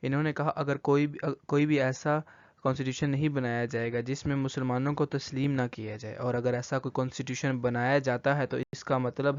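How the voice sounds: With a clear, smooth tone, a man speaks at medium pitch and a moderate pace, with little pitch movement.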